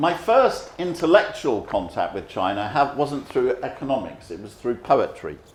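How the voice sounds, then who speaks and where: With audible room echo, a man speaks in a London accent at a moderate pace. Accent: English, London area. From England. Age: 70s. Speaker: economist. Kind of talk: lecture.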